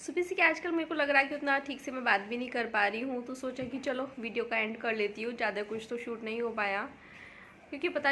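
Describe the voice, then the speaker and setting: A woman talks at a fairly quick pace with a high pitch and a bright, sharp tone. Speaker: home vlogger. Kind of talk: casual vlog talk. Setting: home kitchen.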